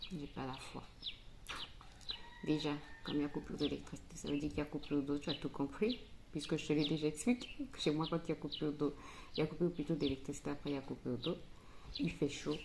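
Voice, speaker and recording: Speaking very fast yet with long, frequent pauses, a woman uses a very deep, low pitch with ordinary variation. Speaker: family vlogger. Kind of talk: casual vlog talk to camera. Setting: home kitchen. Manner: soft-spoken, speaking quietly.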